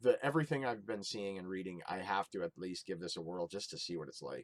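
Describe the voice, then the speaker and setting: Mumbling at a very fast clip, a man talks with lively intonation in a dry, close recording that has no echo. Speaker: video game collector YouTuber. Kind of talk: casual vlog haul. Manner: halting with fillers. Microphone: built-in Windows camera app recording.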